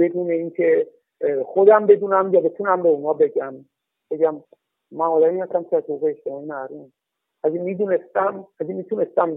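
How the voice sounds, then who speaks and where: Fairly even intonation from a man with a high-pitched voice. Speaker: former expelled agriculture student. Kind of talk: interview testimony.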